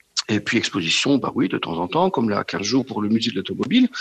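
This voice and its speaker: A man at medium pitch talks at a moderate pace, dry and close with no echo, over noticeable background noise. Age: 50s. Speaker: auto shop employee, car enthusiast. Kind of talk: phone interview. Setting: phone call.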